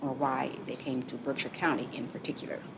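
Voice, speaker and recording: A woman talks fairly quickly while noticeable background noise carries on around her. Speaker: oral history interviewer. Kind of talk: interview questions.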